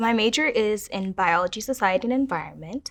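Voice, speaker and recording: Over a quiet background, a woman talks with a Midwestern accent. Her pitch varies in an ordinary way. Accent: American Midwest. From Kenya, raised in Minnesota from age 8. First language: Kiswahili. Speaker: university student. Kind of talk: personal testimony interview.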